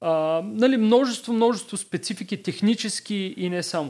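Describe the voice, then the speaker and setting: A man's intonation is lively as he talks at a moderate speed. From Varna, Bulgaria. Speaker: startup co-founder. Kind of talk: podcast interview. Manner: halting, many fillers and repetitions.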